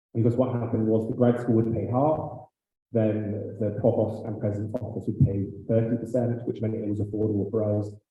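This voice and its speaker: A man with a medium pitch talks at a moderate pace with fairly even intonation, and the room echo is audible. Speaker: graduate student council president. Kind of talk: meeting chairing.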